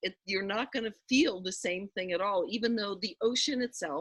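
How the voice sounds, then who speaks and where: A woman's voice at a moderate pace, with very wide pitch swings and a dry, close sound with no echo. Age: 60s. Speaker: spiritual teacher. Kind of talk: casual chat.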